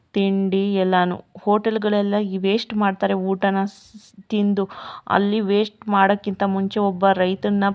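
The woman's medium-pitched voice stays monotone and flat. Her loudness is very even throughout. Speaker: village vlogger. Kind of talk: casual vlog narration.

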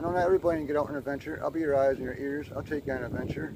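This man talks very fast, the sound dry with no echo but with noticeable background noise. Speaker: adventure vlogger. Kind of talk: casual vlog chat. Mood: disappointed. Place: open country. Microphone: phone near.

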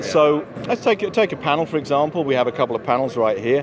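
A man talks at a fast pace in a fairly high voice with lively intonation, and background noise is clearly audible.

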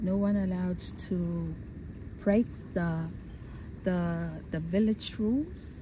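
A woman speaks at a very slow pace. The sound is dry with no echo, and noticeable background noise is present. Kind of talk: interview answer. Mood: calm, reflective. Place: waterside. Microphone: phone near.

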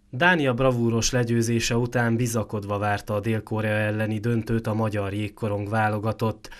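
This is an unremarkable speaking voice at a moderate pace with fairly even intonation. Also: man, medium pitch for a man. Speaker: sports reporter. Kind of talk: news report narration.

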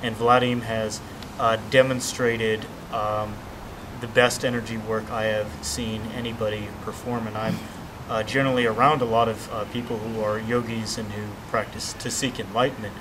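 A man speaks at a moderate pace in a flat monotone. Noticeable noise sits behind him. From Southern California. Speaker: martial arts student giving seminar feedback. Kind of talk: testimonial. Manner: halting, many fillers. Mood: earnest, appreciative. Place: garden. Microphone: camera far.

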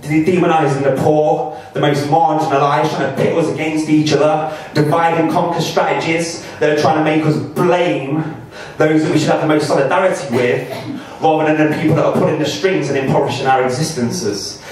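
A man talks at a fairly quick pace, his voice carrying strong echo from the room. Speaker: performance poet. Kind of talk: casual introduction to audience. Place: bar.

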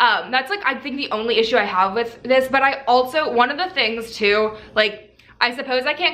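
A woman talks at a fairly quick pace with a bright, sharp tone. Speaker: fitness vlogger. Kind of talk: casual product review vlog. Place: home room. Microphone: camera far.

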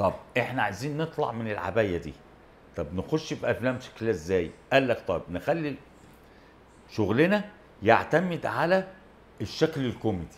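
Male speaker, medium tempo. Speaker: talk show guest. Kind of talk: interview answer. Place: studio. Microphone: lapel.

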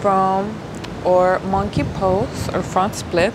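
Over noticeable background noise, a woman talks at a very slow pace with a medium pitch. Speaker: yoga instructor. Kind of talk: tutorial. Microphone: camera far.

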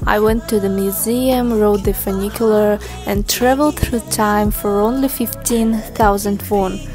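Over clear background music, a woman with a non-native accent speaks fairly slowly and fairly evenly, with hardly any pauses. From Russia. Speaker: travel vlogger. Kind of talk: travel vlog narration. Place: street. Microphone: phone near.

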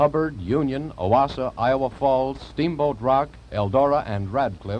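Light background noise is present. A man talks at a moderate pace. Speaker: program introducer narrator. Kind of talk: broadcast narration. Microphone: old recording.

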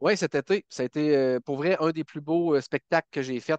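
A man with an ordinary speaking voice talks at a moderate pace, fairly high in pitch and with fairly even intonation. The background is quiet and the sound is dry, with no echo. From Quebec, Bas-Saint-Laurent; Quebec. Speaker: country singer; podcast guest. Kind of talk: interview. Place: home room. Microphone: headset.

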